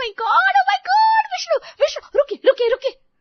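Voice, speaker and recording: At a moderate pace, a female-sounding voice puts on a character voice with extremely high pitch. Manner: excited, squealing.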